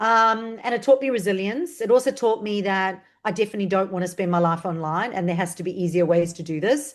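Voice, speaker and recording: A woman with a South African accent talks at a very fast pace with hardly any pauses. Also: medium pitch for a woman, ordinary pitch variation, quiet background. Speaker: marketing strategist. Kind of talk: interview.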